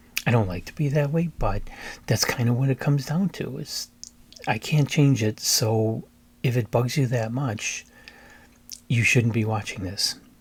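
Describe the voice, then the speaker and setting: A somewhat breathy man speaks at a moderate pace in a medium pitch with ordinary pitch variation and long, frequent pauses. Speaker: book reviewer, YouTuber. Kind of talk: casual monologue. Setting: home recording.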